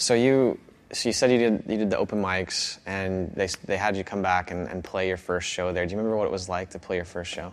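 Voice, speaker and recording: A man with an American accent and a very deep, low pitch talks at a fairly quick pace with fairly even intonation. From Iowa, US Midwest. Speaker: podcast host. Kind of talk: casual interview chat.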